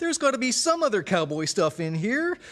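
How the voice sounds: A man's cartoonish character voice, extremely high in pitch, with very wide pitch swings and a fairly quick pace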